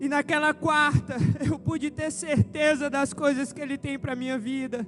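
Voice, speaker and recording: Music plays in the background as a man with an extremely high pitch speaks at a moderate pace in fairly even intonation. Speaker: pastor. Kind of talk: sermon.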